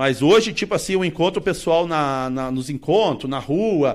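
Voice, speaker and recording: On a very clean recording with a silent background, a man with a normal speaking voice talks at a moderate pace, his fairly high pitch moving with lively intonation. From southern Brazil, Paraná. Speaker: vintage car collector. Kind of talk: casual chat.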